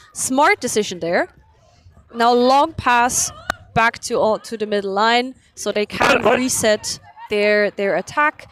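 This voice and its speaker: The woman's voice is high in pitch, with a non-native accent. Noticeable background noise can be heard. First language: not English. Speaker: sports commentator. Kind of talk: live commentary.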